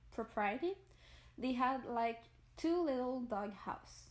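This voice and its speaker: A woman with a Quebec accent speaks at a fairly high pitch. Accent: French Canadian accent in English. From Quebec, Montreal. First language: French. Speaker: gaming YouTuber. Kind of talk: casual voice-over storytelling. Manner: halting, searches for words.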